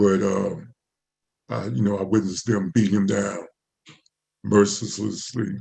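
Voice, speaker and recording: The man's pitch sits fairly low. Vocal fry runs through his voice. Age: 60s. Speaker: panelist, community activist. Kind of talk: panel presentation, personal testimony. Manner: hesitant, many fillers.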